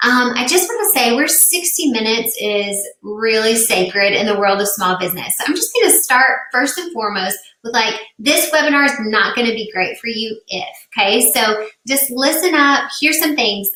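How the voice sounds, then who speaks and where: A high-pitched woman's voice in a Tennessee accent, with lively intonation. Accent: Tennessee, slow. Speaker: business coach. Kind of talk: webinar presentation. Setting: live stream. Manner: animated.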